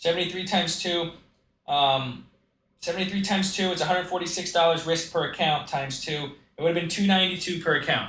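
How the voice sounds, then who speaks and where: A man with a high pitch speaks at a very fast pace. His intonation is fairly even, and room echo is audible. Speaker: day trader. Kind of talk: tutorial. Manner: casual.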